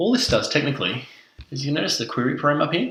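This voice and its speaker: A man with a strong Australian accent and ordinary pitch variation. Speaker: self-taught developer, tutorial creator. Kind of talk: tech demo screencast. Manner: casual with frequent fillers (uh, um).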